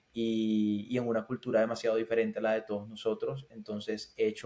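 Monotone and flat in intonation, a man speaks at a fairly quick pace with a medium pitch and a dark, mellow tone. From Colombian Caribbean, Barranquilla. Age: 20s. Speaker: tech sales professional. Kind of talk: interview.

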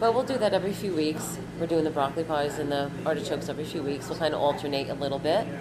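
Over noticeable background noise and audible room echo, a woman with a very deep, low voice talks very fast, with hardly any pauses and ordinary pitch variation. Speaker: cafe owner. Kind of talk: casual interview. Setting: in a cafe.

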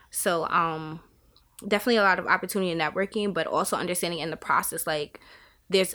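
A woman with a New York accent talks at a very fast pace in a fairly low pitch and a monotone, flat intonation. The recording is very clean, with a silent background. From Staten Island, New York. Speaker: podcast guest, state employee. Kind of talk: casual interview, faith testimony. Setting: in person in Albany.

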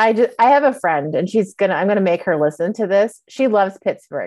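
Against a quiet background, a woman with a plain, everyday voice talks at a fairly quick pace. Her pitch sits in the medium range and her intonation is lively. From Montreal, Canada. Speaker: podcast host. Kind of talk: casual interview chat.

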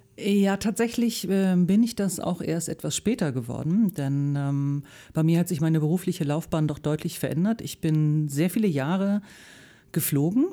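A woman's fairly low voice has a dark, mellow tone. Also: moderate pace. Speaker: voice actor. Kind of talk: casual radio interview. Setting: radio studio.

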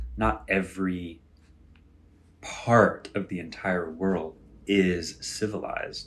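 A man's very deep, low voice with vocal fry and an American accent. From United States. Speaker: podcast host. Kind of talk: casual solo talk with live audience chat. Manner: animated.

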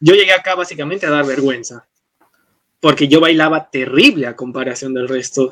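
In a normal speaking voice, a man talks with a fairly high pitch and ordinary pitch variation. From Peru, Arequipa. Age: 20s. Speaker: university student and dance teacher. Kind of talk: casual conversation.

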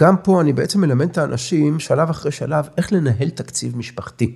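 Lively in intonation, a man with a fairly high pitch speaks with vocal fry. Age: 60s. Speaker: family finance coach. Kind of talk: interview.

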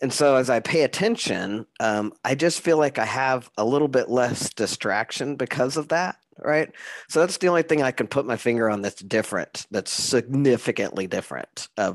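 Speaking at a moderate pace with lively intonation, a man uses an unremarkable speaking voice at medium pitch, recorded with a dry, close sound, no echo and a quiet background. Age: 50s. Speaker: podcast host. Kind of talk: interview.

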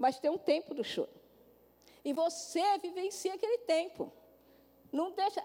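Animated and lively in intonation, a woman speaks at an extremely high pitch and a fairly slow pace, with long, frequent pauses. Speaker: pastor. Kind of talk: sermon.

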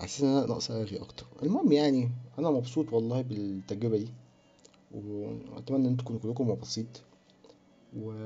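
An unremarkable speaking voice from a man, medium in pitch, at a moderate pace with fairly even intonation. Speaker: film podcast host. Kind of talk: casual solo monologue. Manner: rambling, chatty. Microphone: cheap bad microphone.

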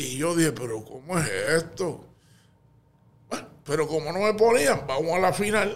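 A man's high-pitched voice, fairly slow in pace, with lively intonation. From Puerto Rico, Canóvanas. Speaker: retired teacher and basketball coach. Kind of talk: interview.

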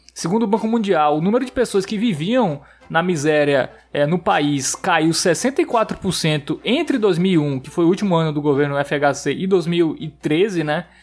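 Against noticeable background noise, a man with a high pitch talks at a fairly slow pace with lively intonation. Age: 20s. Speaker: podcast host. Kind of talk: casual chat.

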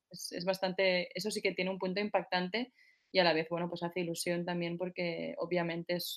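A woman's fairly low voice, flat and monotone, at a fairly quick pace. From Spain, Barcelona. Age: 30s. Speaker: singer. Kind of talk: interview.

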